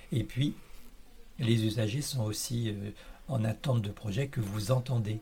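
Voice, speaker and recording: Speaking at a fairly slow pace with long, frequent pauses, a man uses a medium pitch, a dark, mellow tone, fairly even intonation and a somewhat breathy quality. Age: 60s. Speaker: library volunteer, retiree. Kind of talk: interview. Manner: halting, many hesitations and repetitions.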